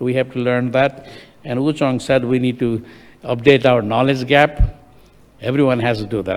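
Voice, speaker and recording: Delivered in a monotone, flat intonation, the speech runs at a fairly quick pace. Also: man. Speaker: session moderator, engineer. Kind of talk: conference panel moderation.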